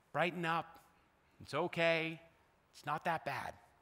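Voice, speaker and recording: Bright and sharp in tone, a man's voice goes at a fairly slow pace. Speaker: pastor delivering a sermon. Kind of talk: sermon preached to a congregation. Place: church. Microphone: headset.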